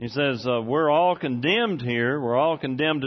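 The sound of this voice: Pitch variation is ordinary in this unforced reading voice.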